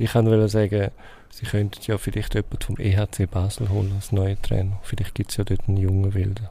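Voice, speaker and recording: A man's somewhat breathy, dark, mellow voice comes out in a fairly low pitch, monotone and flat, at a fairly quick pace. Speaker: sports journalist. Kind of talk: casual chat.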